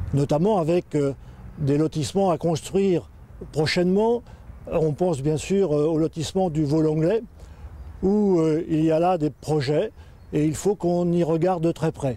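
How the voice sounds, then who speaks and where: A man with a fairly high, dark and mellow voice speaks at a fairly slow pace, leaving long, frequent pauses. His loudness stays very even, and his pitch varies in an ordinary way. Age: 60s. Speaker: local election candidate. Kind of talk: campaign statement. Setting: outdoors by a bridge. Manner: hesitant, frequent fillers.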